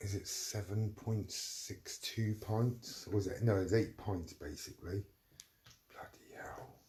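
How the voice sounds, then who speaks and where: Quiet and somewhat breathy, the voice has a dark, mellow tone, fairly even intonation, and a fairly slow pace. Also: man. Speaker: livestreamer. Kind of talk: casual chat. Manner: rambling, hesitant.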